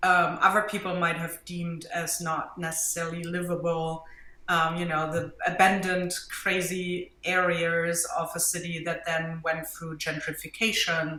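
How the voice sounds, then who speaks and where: A woman with a German accent talks with monotone, flat intonation and hardly any pauses, with noticeable background noise and audible room echo. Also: fairly low pitch for a woman, fairly slow pace. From Germany. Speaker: mixed media artist and art teacher. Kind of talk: interview.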